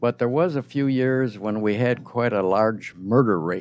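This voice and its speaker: A man speaks at a very slow pace, his pitch medium. The background is quiet. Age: 80s+. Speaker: public commenter at city council. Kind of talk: public comment speech. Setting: city council chamber.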